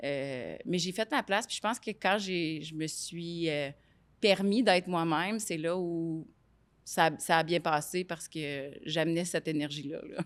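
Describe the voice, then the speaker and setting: A woman's fairly low voice with ordinary pitch variation at a fairly slow pace, very cleanly recorded against a silent background. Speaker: business executive. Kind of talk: interview. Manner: loud; hesitant, many fillers.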